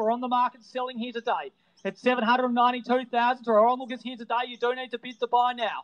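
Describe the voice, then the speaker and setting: This man's voice is extremely high in pitch and flat, with no melody at all. He talks fairly quickly in an Australian accent. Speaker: real estate auctioneer. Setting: outdoors at property before live crowd, with phone and online bidders. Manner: punchy, showman-like cajoling of bidders.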